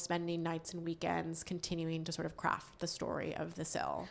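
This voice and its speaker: In a very clean recording with a silent background, a woman with an American accent speaks at a moderate pace in a fairly low, monotone, flat voice. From Western Massachusetts, US. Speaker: company founder and CEO. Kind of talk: interview.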